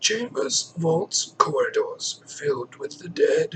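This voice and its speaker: In a put-on character voice, a man mumbles raspily at a fairly slow pace. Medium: solo performance. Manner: sly, mumbling, refers to himself by name.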